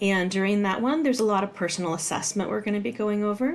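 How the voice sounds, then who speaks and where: Fairly high pitch from a woman, with ordinary pitch variation. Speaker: college instructor. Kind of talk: tutorial. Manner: fast; casual, with fillers.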